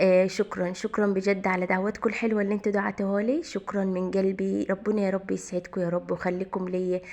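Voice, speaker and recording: With an Egyptian accent, a woman talks fairly quickly and hardly pauses. Her medium-pitched voice stays very even in loudness, with monotone, flat intonation. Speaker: home vlogger. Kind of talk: casual vlog talk.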